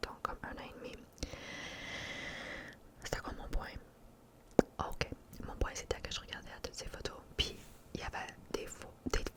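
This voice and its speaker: There is noticeable background noise behind the speaker. A woman is whispering. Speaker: ASMR content creator. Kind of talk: casual whispered ramble to camera. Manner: whispered, chatty, mixing French and English.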